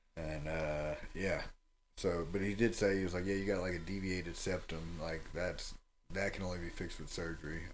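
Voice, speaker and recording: A man with a very deep, low pitch speaks in a monotone, flat way. His pace is moderate, and the room echo is audible. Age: 30s. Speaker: MMA fighter and coach. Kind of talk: casual interview chat.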